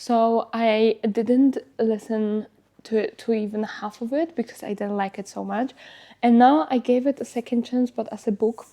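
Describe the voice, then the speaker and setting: A woman with a Polish accent speaks at a moderate pace, her fairly high voice dark and mellow in tone with ordinary pitch variation. The recording is very clean, with a silent background. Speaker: lifestyle vlogger. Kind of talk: casual vlog talk. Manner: hesitant with filler words.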